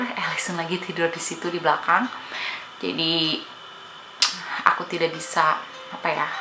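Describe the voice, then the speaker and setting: With music in the background and audible room echo, a woman with a strong Sundanese accent speaks at a fairly low pitch in a monotone, flat intonation. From Indonesia, Bandung (West Java). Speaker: family vlogger. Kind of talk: casual Q&A chat to viewers.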